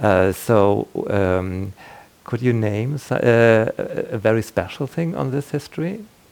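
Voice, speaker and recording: A man with a German accent talks at a very slow pace, his medium-pitched voice carrying lively intonation. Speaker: radio interviewer. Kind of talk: interview. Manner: halting.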